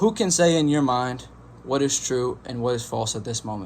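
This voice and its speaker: The voice is a man's, medium in pitch. His intonation moves in a lively way. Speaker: meditation youtuber. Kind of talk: casual monologue. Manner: fast.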